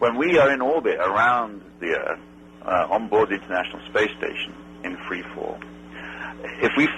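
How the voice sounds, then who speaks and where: A man with an English accent at a moderate pace, over noticeable background noise. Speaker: astronaut. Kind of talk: interview answer.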